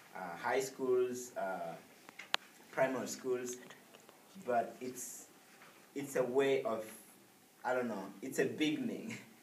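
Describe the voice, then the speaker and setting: The speech moves at a very slow pace, with long, frequent pauses. Audible room echo and noticeable background noise surround it. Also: man, medium pitch for a man. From Rwanda, northern part. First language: Kinyarwanda, also French. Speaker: presenter on their home country. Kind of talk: informal presentation to an audience. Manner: halting, many fillers.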